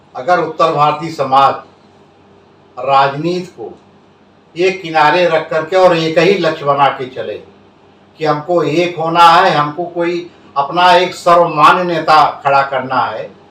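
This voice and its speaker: A man's high voice with fairly even intonation, long, frequent pauses and audible room echo. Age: 70s. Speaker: social worker and former politician. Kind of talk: interview. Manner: formal.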